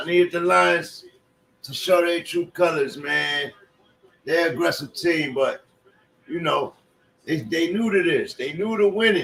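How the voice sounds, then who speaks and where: There are long, frequent pauses as a man talks at a fairly slow pace. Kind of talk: live sports commentary. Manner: casual, conversational, opinionated.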